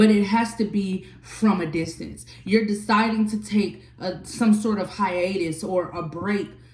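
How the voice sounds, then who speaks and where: A woman speaks at a medium pitch with ordinary pitch variation and a fairly slow pace. The room echo is audible, and background noise is noticeable. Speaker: tarot reader. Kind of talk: tarot reading.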